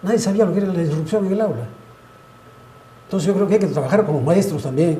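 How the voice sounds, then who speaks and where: A man speaks at a very fast pace with lively intonation and a high pitch. Audible room echo surrounds his voice. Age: 80s+. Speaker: pediatrics professor. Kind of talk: panel discussion.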